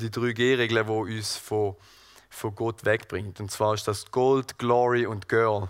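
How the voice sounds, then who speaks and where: A man at a medium pitch, very slow pace, very clean recording with a silent background. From Switzerland, Thurgau (Seerücken). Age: 20s. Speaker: gardener and lay preacher. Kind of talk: sermon. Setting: church hall with audience and livestream. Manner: halting, many fillers.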